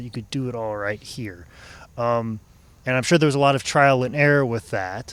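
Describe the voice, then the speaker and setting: On a very clean recording with a silent background, a man with a plain, everyday voice and an American accent talks at a fairly quick pace, medium pitch and ordinary pitch variation. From Iowa, US Midwest. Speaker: podcast host. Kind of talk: interview.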